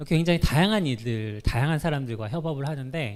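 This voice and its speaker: On a very clean recording with a silent background, a man speaks with a fairly high pitch. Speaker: software engineer giving a talk. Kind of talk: conference talk. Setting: stage with audience. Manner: fast when nervous.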